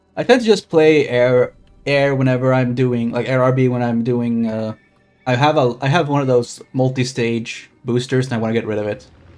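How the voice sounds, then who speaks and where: Music is heard behind a man speaking at a moderate pace. His pitch is medium and his intonation fairly even. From Sweden. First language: Swedish. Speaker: streamer. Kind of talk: gameplay commentary. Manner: casual.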